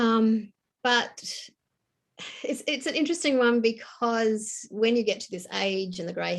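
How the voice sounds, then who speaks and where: Her accent is Australian, and the speaker is a woman. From Tasmania, Australia. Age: 60s. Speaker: novelist. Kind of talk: interview.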